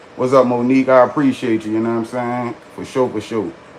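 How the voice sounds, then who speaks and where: Against noticeable background noise, a man at medium pitch talks at a fairly quick pace. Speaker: storyteller livestreamer. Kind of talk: casual storytelling on livestream. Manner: animated.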